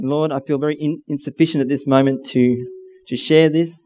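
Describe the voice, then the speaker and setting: In a dark, mellow tone, a man speaks at a moderate pace with fairly even intonation, the sound dry with no echo. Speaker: speaker. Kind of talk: sermon. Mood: earnest, humble. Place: hall. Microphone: headset.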